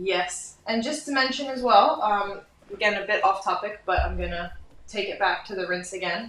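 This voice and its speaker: A woman with an American accent speaks at a medium pitch and moderate pace. Her pitch varies in an ordinary way, with noticeable background noise behind her. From United States. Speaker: hair colourist and educator. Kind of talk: live hair colouring demo and interview.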